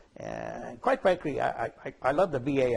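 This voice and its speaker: A man speaks with lively intonation and vocal fry. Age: 80s+. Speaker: war veteran. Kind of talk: testimony. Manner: halting.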